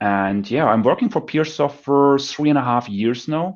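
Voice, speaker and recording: A man speaks with a German accent. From northern Germany near Dutch border. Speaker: pre-sales engineer. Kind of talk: casual interview on video call. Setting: video call from home working room.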